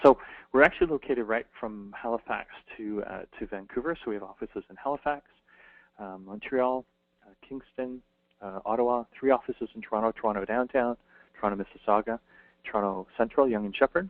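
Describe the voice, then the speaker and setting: A man at medium pitch, talking at a very fast pace with big swings in loudness. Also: ordinary pitch variation. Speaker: career coach. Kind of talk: webinar presentation with Q&A.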